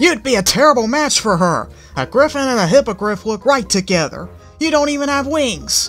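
A growling, put-on character voice, fairly high in pitch, moves at a fairly quick pace. Faint music plays in the background. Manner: growling, angry.

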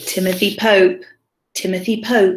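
This is reading aloud in a natural voice with fairly even intonation. The background is quiet.

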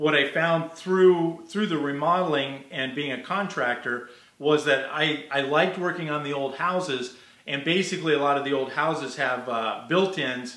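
A man talking at a moderate pace with ordinary pitch variation, plus audible room echo. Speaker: guest. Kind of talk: interview answer. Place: workshop. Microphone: earbuds.

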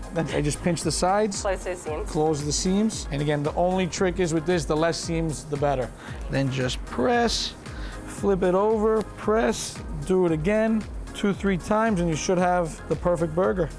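Over clear background music, a man speaks at a moderate pace with a high pitch and ordinary pitch variation. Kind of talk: tutorial. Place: kitchen.

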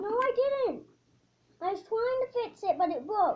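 A woman shouts in a put-on character voice, squeaky and extremely high-pitched. Her intonation is lively and her pace moderate. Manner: yelling.

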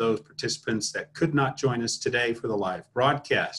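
Over light background noise, a man speaks in a somewhat breathy voice. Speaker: association president hosting webinar. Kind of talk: formal opening announcement. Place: home room. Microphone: webcam.

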